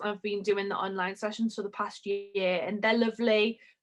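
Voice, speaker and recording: A woman with a Geordie accent speaks in a fairly high voice. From northern England, Newcastle. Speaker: makeup artist. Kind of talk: tutorial.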